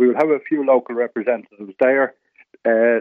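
A man with a north Dublin accent speaks at a moderate pace with ordinary pitch variation. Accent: Irish (rural north Dublin). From North County Dublin, Ireland. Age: 70s. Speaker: residents association representative. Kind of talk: radio interview. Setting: phone call.

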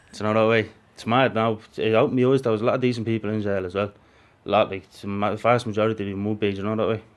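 A fairly low-pitched man in a Dublin accent, very fast pace, monotone and flat intonation. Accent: Dublin Irish. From Ireland, Dublin. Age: 20s. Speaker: prisoner. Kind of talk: interview.

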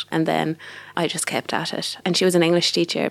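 A woman talks at a very fast pace with a fairly low pitch. Vocal fry runs through her voice. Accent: west of Ireland. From Ireland, Galway. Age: 20s. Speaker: singer-songwriter. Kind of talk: casual interview chat. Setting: recording studio.

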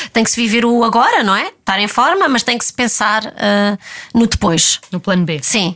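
Lively, fairly high female speech at a moderate speed. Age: 30s. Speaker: ballet dancer. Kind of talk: interview. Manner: halting.

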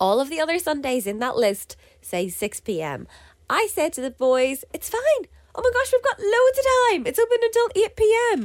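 A woman talks at a moderate pace. Her extremely high voice swings very widely in pitch. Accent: Northern Irish. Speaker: podcast co-host. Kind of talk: casual chat.

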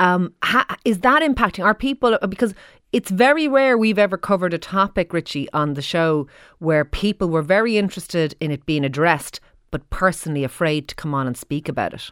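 The voice makes very wide pitch swings. Its sound is dry and close, with no echo. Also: woman, medium pitch for a woman, fairly quick pace. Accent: Irish. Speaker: radio host. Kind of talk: radio phone-in discussion.

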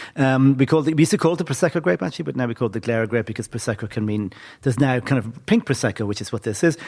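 This man's pitch swings very widely as he talks. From Athlone, Ireland; school in Dublin. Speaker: wine expert. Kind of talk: live panel wine talk.

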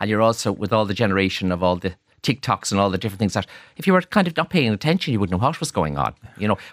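A man with an Irish accent talks at a very fast pace, his fairly low voice full of lively intonation, in a dry, close sound with no echo on a very clean recording with a silent background. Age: 60s. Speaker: hotelier and author. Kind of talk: radio interview. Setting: studio.

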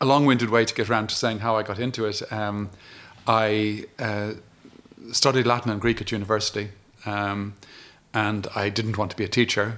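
Speaking in an Irish accent at a moderate pace, a man with a fairly low pitch keeps a monotone, flat intonation and leaves long, frequent pauses. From Ireland. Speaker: retired diplomat. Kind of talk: interview. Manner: halting.

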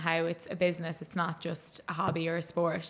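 With an Irish accent, a woman speaks at a fairly low pitch. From Ireland, County Mayo. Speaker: gaelic footballer. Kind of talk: casual chat.

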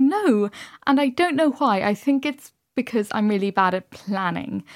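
Recorded very cleanly against a silent background, a woman with a Dublin accent speaks at a moderate pace in a dry, close sound with no echo. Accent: Dublin Irish. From Dublin, Ireland. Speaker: novelist. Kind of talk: radio interview.

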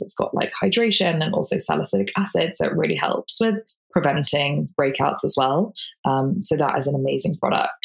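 At a moderate pace, a woman is speaking. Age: 30s. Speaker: digital creator. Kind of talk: casual chat.

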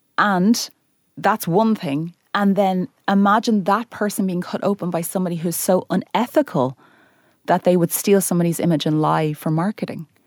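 Over a silent background in a very clean recording, a woman talks at a moderate pace and medium pitch with ordinary pitch variation, the sound dry and close with no echo. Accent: Irish. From Ireland. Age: 30s. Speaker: weight loss influencer. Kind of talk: interview.

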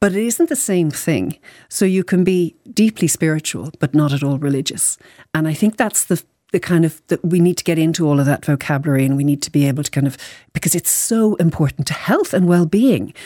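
Fairly low in pitch with a dark, mellow tone, a woman talks at a fairly quick pace with lively intonation in a dry, close sound with no echo. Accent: Irish. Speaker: psychologist and author. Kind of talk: radio interview. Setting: studio.

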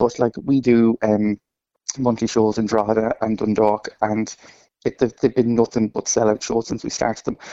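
An Irish accent at a moderate pace. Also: man. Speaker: drag performer. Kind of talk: radio interview. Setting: phone call.

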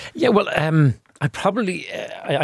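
Recorded with a dry, close sound and no echo, a man with an Irish accent speaks with ordinary pitch variation. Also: very clean recording, silent background. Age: 50s. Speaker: patient. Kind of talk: interview. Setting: studio. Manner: halting.

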